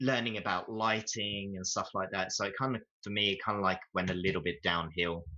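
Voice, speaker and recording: With a British accent, a man talks at a fairly quick pace in a fairly low pitch and a bright, sharp tone. His intonation stays fairly even against a quiet background. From UK. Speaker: 3D game artist. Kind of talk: casual interview chat. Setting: live video stream Q&A. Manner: halting, many fillers and restarts.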